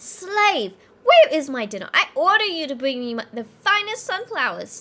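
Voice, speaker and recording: A shrill, put-on character voice moves at a moderate pace with very wide pitch swings and big swings in loudness. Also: woman, extremely high pitch for a woman. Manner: demanding, haughty.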